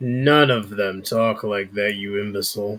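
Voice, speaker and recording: A man puts on a character voice at a fairly low pitch, captured in a very clean recording with a silent background. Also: moderate pace. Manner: mocking, contemptuous.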